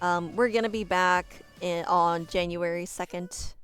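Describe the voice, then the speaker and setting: Fairly low-pitched speech from a woman with fairly even intonation, music playing in the background. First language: not English. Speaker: streamer. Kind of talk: casual chat. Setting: home. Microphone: poor mic quality.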